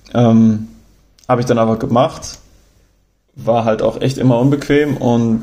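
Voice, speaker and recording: At a moderate pace, the voice has a dark, mellow tone and monotone, flat intonation. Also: man. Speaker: travel podcaster. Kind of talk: casual storytelling monologue. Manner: hesitant, many fillers.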